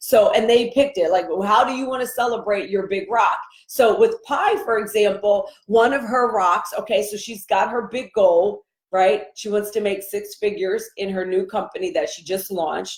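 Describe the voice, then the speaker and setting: A woman speaks in a normal speaking voice, her pitch fairly high with ordinary variation, at a moderate pace. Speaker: life coach. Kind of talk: live stream coaching talk. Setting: live video stream.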